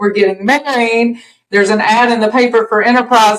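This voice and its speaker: With a Southern US accent, a woman speaks at a fairly high pitch and a fairly quick pace. Her pitch varies in an ordinary way over noticeable background noise. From US South. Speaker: podcast guest, empty-nester mom. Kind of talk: casual chat.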